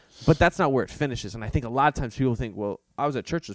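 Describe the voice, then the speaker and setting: A man with an energetic tone and ordinary pitch variation is heard in a very clean recording with a silent background and a dry, close sound with no echo. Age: 20s. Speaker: youth pastor. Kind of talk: casual chat.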